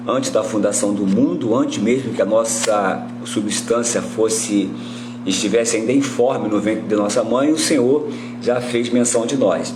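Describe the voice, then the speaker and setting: Backed by music and audible room echo, a man speaks at a fairly slow pace with very even loudness. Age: 60s. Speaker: Bible teacher. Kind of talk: livestream Bible teaching. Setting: live stream. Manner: halting, many fillers.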